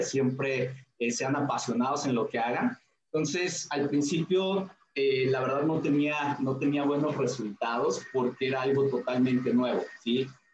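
This man has an ordinary speaking voice, pitched fairly high, with very even loudness. His intonation is fairly even and his pace moderate. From Mexico, Hidalgo (Tulancingo). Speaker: network marketing leader. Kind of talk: interview. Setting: video call.

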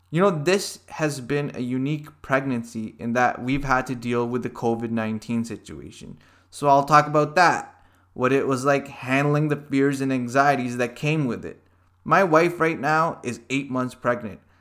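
A plain, everyday voice from a man with a Canadian accent, fairly high pitch, moderate pace and ordinary pitch variation, in a very clean recording with a silent background. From Canada (Hamilton, Ontario). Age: 30s. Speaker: podcast host. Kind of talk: monologue. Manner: casual.

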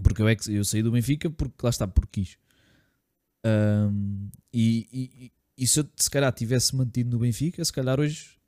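Recorded dry and close with no echo, a man talks at a moderate pace in a medium-pitched, dark, mellow voice with ordinary pitch variation. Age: 20s. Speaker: podcast co-host, personal trainer. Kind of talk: casual chat.

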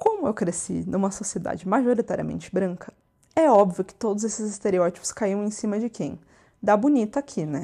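The voice has a dark, mellow tone and lively intonation at a moderate pace. The recording is very clean, with a silent background. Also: woman. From Brazil, interior of São Paulo state. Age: 20s. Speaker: podcast host. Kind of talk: personal monologue podcast. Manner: casual, conversational.

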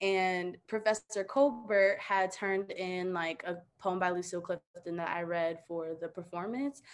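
On a very clean recording with a silent background, a woman with an unremarkable speaking voice talks at a fairly slow pace and medium pitch, with ordinary pitch variation and hardly any pauses. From US, child of Sierra Leonean immigrants. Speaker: university student. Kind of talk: panel discussion.

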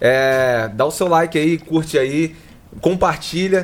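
A man with a fairly high pitch and ordinary pitch variation speaks in a normal speaking voice. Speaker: podcast host. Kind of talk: casual podcast interview.

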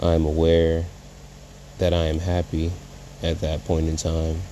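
The man's voice is very deep and low, with flat, monotone intonation. He speaks at a fairly slow pace, and the room echo is audible. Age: 20s. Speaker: spoken word poet. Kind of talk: freestyle spoken word poem. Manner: emotional, halting.

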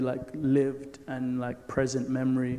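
A man at a medium pitch, fairly slow pace, with noticeable background noise. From Nigeria. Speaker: filmmaker. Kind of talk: panel discussion.

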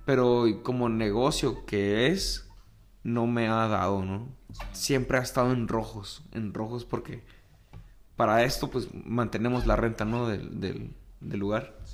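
Medium-pitched man at a very slow pace, fairly even in intonation but with big swings in loudness, in audible room echo. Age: 30s. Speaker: musician and tattoo artist. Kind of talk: casual chat.

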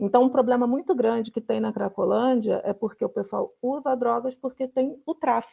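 This woman's voice sits at a high pitch with fairly even intonation. She keeps a moderate pace. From Rio de Janeiro, Brazil. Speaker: former municipal guard, participant. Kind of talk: casual discussion. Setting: video call.

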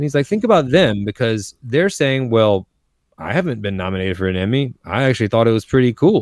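Recorded dry and close with no echo, a man with a normal speaking voice talks at a fairly quick pace, medium in pitch, with lively intonation. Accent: American. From coastal North Carolina, US South. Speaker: storytelling coach and speaker. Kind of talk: interview.

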